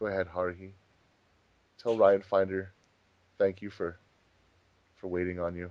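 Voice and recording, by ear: At a moderate pace, a man talks in a low pitch with little pitch movement.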